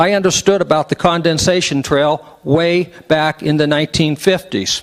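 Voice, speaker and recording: A man with an American accent speaks in an ordinary speaking voice, with fairly high pitch, fairly even intonation and a moderate pace. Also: very even loudness. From West Virginia. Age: 60s. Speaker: public meeting speaker. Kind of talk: public comment at meeting. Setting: public meeting hall with microphone.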